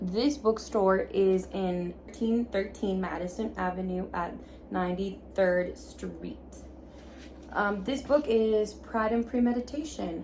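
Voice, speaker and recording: Audible room echo surrounds a woman speaking at a very slow pace. Her pitch is medium, with ordinary variation. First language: Spanish. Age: 20s. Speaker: book vlogger. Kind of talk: casual vlog talk. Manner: informal, with filler words.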